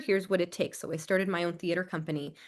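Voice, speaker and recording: In an American accent, a woman speaks with an animated tone at a medium pitch against a quiet background. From California Central Valley (Arvin). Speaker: theater director and scholar. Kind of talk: podcast interview.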